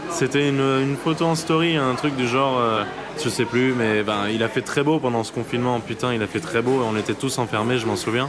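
A medium-pitched man at a fairly quick pace, with ordinary pitch variation, audible room echo, and noticeable background noise. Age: 20s. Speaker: anonymous interviewee sharing a lockdown love story. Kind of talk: personal testimony. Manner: halting, with many hesitations.

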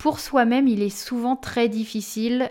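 Her pace is very slow. This woman keeps her intonation fairly even. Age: 20s. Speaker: spiritual medium. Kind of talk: interview.

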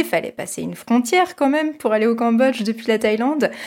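With lively intonation and a fairly quick pace, a woman speaks in an unremarkable speaking voice. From France, Paris region (near Versailles). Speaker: podcast host. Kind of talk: casual discussion.

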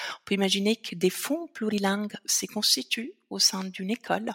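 A woman speaks with an Italian accent. The sound is dry and close, with no echo. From Italy, Veneto. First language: Italian (speaking French). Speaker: founder of a language association. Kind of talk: interview. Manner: hesitant, many fillers.

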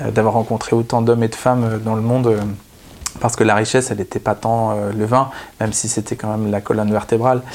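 Fairly quick and flat, a man speaks in a monotone. His pitch sits at medium, and background noise is noticeable. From northern France (Picardy). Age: 30s. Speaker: wine author and explorer. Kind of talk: interview. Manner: hesitant, with many fillers.

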